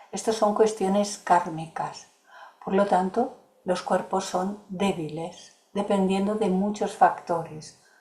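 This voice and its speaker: A woman at a medium pitch, speaking very slowly with fairly even intonation over noticeable background noise. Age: 70s. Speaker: course facilitator. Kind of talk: lecture with Q&A.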